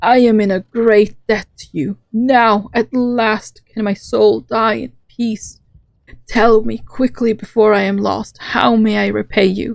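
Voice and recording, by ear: In a put-on character voice, a female-sounding speaker talks shakily at a fairly slow pace and a fairly high pitch.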